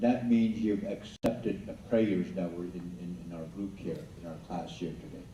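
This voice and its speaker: Through audible room echo, a man speaks at a moderate pace with a dark, mellow tone and fairly low pitch. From Blackfoot Confederacy, southern Alberta. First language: Blackfoot. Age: old. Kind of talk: school assembly talk. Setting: school assembly with audience. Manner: halting.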